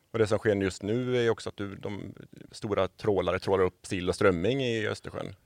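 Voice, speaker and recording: At a moderate pace, a man with an ordinary speaking voice talks at a fairly low pitch with fairly even intonation, in a dry, close sound with no echo. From Sweden, Borås. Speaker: environmental organisation worker. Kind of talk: interview conversation. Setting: studio.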